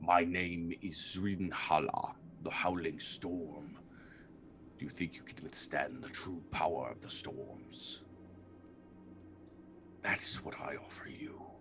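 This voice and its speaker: Through clear background noise, a man booms in a put-on character voice at a fairly slow pace with long, frequent pauses. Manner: grand, imposing.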